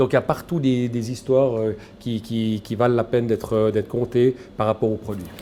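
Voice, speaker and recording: Here is a man with an unremarkable speaking voice of medium pitch. He talks at a fairly quick pace with fairly even intonation. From Switzerland, Valais. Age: 60s. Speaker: shop owner, former headhunter. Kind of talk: interview. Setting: in his grocery shop.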